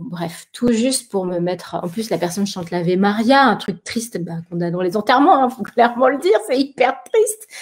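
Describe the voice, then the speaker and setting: A normal speaking voice from a woman at a fairly quick pace with ordinary pitch variation. The recording is very clean, with a silent background. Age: 40s. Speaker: live stream co-host. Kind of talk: casual chat. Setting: live video stream.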